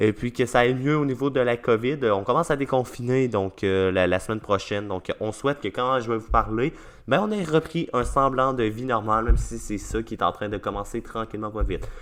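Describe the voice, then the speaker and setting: A man with a Quebec accent, at a fairly quick pace with hardly any pauses and ordinary pitch variation. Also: medium pitch for a man. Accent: Québécois French. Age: young. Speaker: podcast host. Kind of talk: podcast outro monologue. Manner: hesitant, many fillers.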